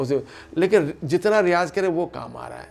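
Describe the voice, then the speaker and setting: A man's voice with ordinary pitch variation. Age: 60s. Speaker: classical flute player. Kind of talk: interview.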